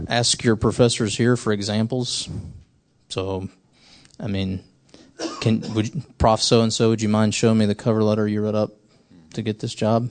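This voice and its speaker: A man with a fairly low pitch talks at a moderate pace in a flat monotone, leaving long, frequent pauses. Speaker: academic dean. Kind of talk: panel discussion. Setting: stage with audience.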